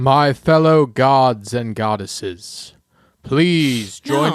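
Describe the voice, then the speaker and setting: Using a put-on character voice, a man talks at a medium pitch. The pace is very slow. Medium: actual play. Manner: solemn, ceremonial.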